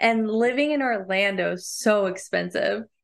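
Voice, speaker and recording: Against a quiet background, a woman with an ordinary speaking voice talks at a moderate pace, her pitch fairly high with ordinary variation. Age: 30s. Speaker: podcast co-host. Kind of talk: personal storytelling. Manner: frequent fillers and laughs.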